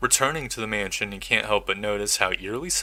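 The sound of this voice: An unforced reading voice is what comes through.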